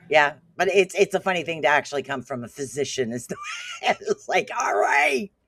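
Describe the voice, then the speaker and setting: A woman shouts in a very deep, low pitch, her tone animated and her intonation lively. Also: moderate pace. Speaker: podcast co-host. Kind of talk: casual chat.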